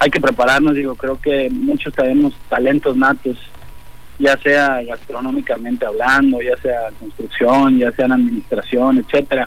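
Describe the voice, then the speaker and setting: There is noticeable background noise. A man talks over it at a moderate pace. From Jalisco, Mexico (Autlán). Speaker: restaurant owner. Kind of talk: radio interview.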